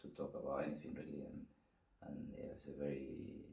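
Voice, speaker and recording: This man has an Argentine accent. He talks at a fairly quick pace. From Argentina. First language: Spanish. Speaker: winemaker. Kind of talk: interview answer.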